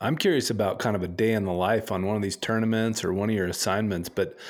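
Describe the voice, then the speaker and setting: Very clean, silent-background recording of a man with an unremarkable speaking voice, medium pitch, fairly even intonation and a fairly quick pace. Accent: American. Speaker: podcast co-host. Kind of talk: casual interview chat.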